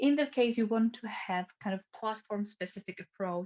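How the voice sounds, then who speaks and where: The sound of this woman's voice is dry and close, without any echo. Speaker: social media trainer. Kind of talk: online training webinar. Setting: video call. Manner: fast.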